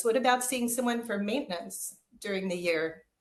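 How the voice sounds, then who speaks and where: A woman speaks at a fairly quick pace in a fairly high pitch, her intonation lively and some room echo audible around her voice. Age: 50s. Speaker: craniosacral and energy healer. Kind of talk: interview.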